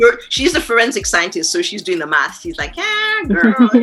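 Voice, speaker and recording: A woman's voice with music in the background. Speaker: podcast host. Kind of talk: casual podcast conversation.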